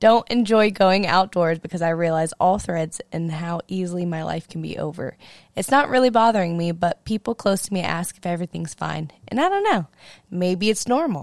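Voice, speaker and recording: A woman speaks in an ordinary speaking voice at a fairly low pitch. Her moderate pace comes through dry and close, with no echo. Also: ordinary pitch variation. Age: 20s. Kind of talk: casual chat.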